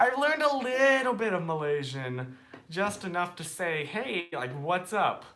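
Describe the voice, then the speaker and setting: A man with a strong American accent speaks slowly-ish at a fairly slow pace, high in pitch, with an animated tone and very wide pitch swings. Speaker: live streamer. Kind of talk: casual chat.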